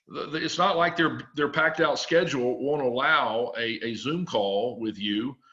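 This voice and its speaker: A man's bright, sharp voice carries vocal fry and very wide pitch swings. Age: 60s. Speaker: campus ministry support-raising trainer. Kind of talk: webinar presentation. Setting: video conference call. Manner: halting, frequent repetitions.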